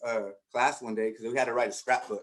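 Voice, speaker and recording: A man talks at a moderate pace. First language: Spanish. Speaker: education researcher and teacher-preparation coordinator. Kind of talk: conference presentation with personal testimony.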